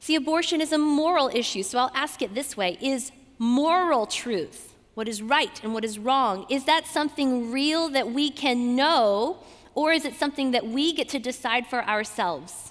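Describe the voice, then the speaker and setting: With a Southern US accent, a woman speaks at a moderate pace in an animated tone, her high pitch carried by lively intonation. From US South, Georgia. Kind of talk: talk to a student audience.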